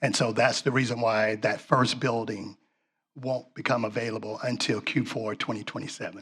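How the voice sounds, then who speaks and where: A man with a Southern US accent at a medium pitch, moderate in pace, with monotone, flat intonation. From US South. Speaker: property developer. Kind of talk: project presentation Q&A.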